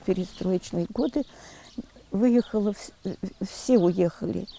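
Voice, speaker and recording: A woman with a dark, mellow tone and lively intonation speaks at a medium pitch and a fairly slow pace in a dry, close sound with no echo. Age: 70s. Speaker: retired village schoolteacher. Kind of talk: interview testimony.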